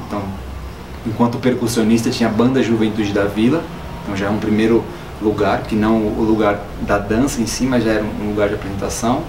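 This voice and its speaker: Against noticeable background noise, a man talks fairly quickly at a fairly low pitch in a flat monotone, with long, frequent pauses. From Ceará, northeastern Brazil. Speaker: dancer and dance company director. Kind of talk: documentary interview answer.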